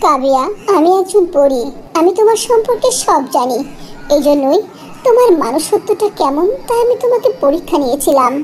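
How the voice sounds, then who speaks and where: Over clear background noise, a cartoonish character voice that sounds female speaks at a moderate pace with an extremely high pitch. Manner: warm, gracious.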